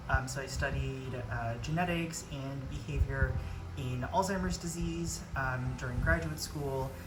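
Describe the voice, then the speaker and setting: A woman with an American accent and a very deep, low pitch, very wide pitch swings and a fairly slow pace, with audible room echo and music in the background. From Florida, US (Dominican-born). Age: 30s. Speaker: YouTuber. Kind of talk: casual vlog intro. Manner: hesitant, many fillers.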